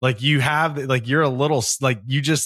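A man with an American accent talks fairly quickly at medium pitch, in an unremarkable speaking voice. His intonation is fairly even. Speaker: podcast host, military veteran. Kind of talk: casual chat.

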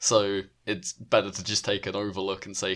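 A man with a British accent speaks at a fairly low pitch and moderate pace. The recording is very clean and the background silent. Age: 20s. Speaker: wrestling podcast co-host. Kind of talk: casual chat.

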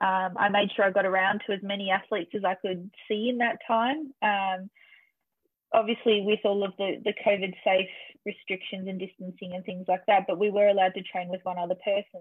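With an Australian accent, a woman talks at a fairly quick pace and medium pitch, her intonation fairly even. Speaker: triathlete and coach. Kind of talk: interview. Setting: remote call.

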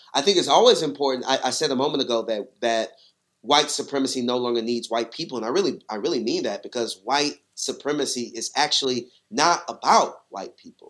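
A man's plain, everyday voice, fairly high in pitch, with ordinary pitch variation, big swings in loudness and a fairly quick pace. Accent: American. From Texas. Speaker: pastor and seminary student. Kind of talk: podcast interview.

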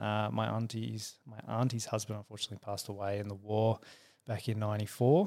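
On a very clean recording with a silent background, a man with an Australian accent talks at a moderate pace and medium pitch. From Perth, Western Australia. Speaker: engineer and motorcycle company founder. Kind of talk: interview. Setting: studio.

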